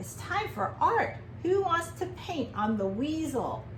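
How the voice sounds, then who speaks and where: A woman performs a put-on character voice at a fairly slow pace. Clear background noise runs underneath. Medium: read story. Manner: cheerful, playful.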